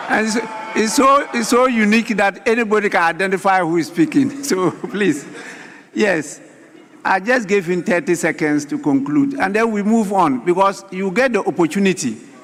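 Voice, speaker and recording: Over noticeable background noise, a man with a high pitch talks at a moderate pace with lively intonation. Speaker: parliamentary speaker presiding. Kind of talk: parliamentary proceedings. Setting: parliament chamber. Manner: formal.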